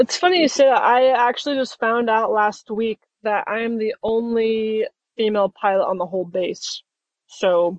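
Ordinary pitch variation marks an ordinary speaking voice. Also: woman, fairly high pitch for a woman, moderate pace. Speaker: military pilot. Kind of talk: casual chat.

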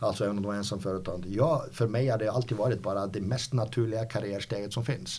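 At a very fast pace, a man talks with a fairly low pitch. His voice is somewhat breathy, with a dark, mellow tone. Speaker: company founder. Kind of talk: interview. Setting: company office. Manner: halting, many repetitions.

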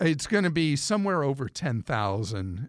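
An ordinary speaking voice from a man at medium pitch and moderate pace comes through a dry, close sound with no echo on a very clean recording with a silent background. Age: 60s. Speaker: consumer money radio host. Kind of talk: casual chat.

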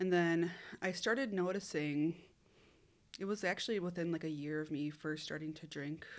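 A woman with an Upper Midwest accent speaks at a moderate pace with long, frequent pauses, her fairly low pitch varying in an ordinary way. The recording is very clean, with a silent background. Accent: Upper Midwest (Minnesota). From Minnesota. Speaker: hairstylist. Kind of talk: personal testimony.

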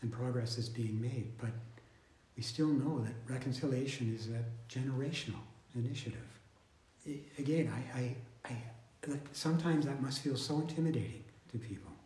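Amid audible room echo, a man speaks at a medium pitch and a fairly quick pace with fairly even intonation and long, frequent pauses. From southern Manitoba, Canada. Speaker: podcast host. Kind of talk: casual interview. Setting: on campus.

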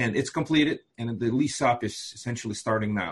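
A man speaks with a Russian accent. His voice is somewhat breathy. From Moldova. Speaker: fund investor. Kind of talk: casual interview chat.

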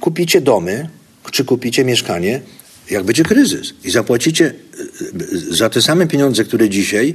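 At a fairly quick pace, a man with a medium-pitched voice speaks with lively intonation. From southern Poland, Zakopane and Kraków. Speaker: investor and business educator. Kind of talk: interview. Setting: conference venue.

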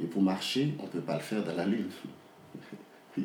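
A very deep, low-pitched male voice with vocal fry, very wide pitch swings, and audible room echo. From Haiti, Port-au-Prince. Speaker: novelist. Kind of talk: interview. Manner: halting, with many repetitions and fillers.

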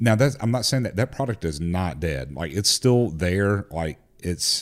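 With a Southern US accent, a man speaks at a moderate pace. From Tennessee. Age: 40s. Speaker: firearms company executive. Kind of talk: casual chat.

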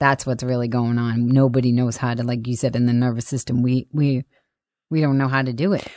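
Over a quiet background, a woman speaks at a fairly quick pace with a very deep, low pitch, a dark, mellow tone and monotone, flat intonation. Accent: Boston. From Boston, Massachusetts. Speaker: comedian. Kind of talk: casual chat.

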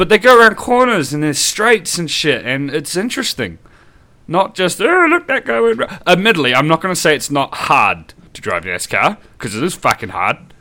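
A man with a New Zealand accent speaks at a high pitch in a bright, sharp tone. His voice swings very widely in pitch. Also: moderate pace. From New Zealand, Upper Hutt. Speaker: podcast co-host. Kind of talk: casual chat.

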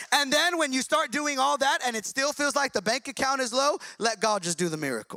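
With an extremely high pitch, a man delivers an animated, raised and projected voice with a bright, sharp tone and lively intonation, moving at a fairly quick pace with hardly any pauses in a dry, close sound with no echo. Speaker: pastor. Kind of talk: sermon. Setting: church. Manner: fast talker.

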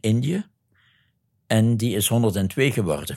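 A man with a Limburg accent speaks at a very slow pace and a fairly low pitch, with ordinary pitch variation, in a very clean recording with a silent background. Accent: Limburg Flemish. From Belgian Limburg (Neerpelt). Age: 70s. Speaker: retired Jesuit priest and missionary. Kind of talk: interview testimony.

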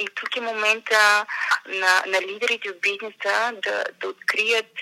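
Bright and sharp in tone, a woman speaks at a medium pitch with monotone, flat intonation. Her fairly slow delivery has a dry, close sound with no echo. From Bulgaria, Montana town. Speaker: business journalist. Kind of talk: interview conversation. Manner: hesitant, with fillers.

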